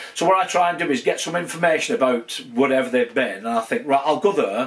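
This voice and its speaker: Through noticeable background noise, a man talks very fast in a fairly high voice that swings very widely in pitch. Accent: strong Lancashire. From northern England, Wigan. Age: 60s. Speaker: YouTuber exploring military fortifications. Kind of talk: casual vlog update. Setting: home man cave. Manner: hesitant, many fillers.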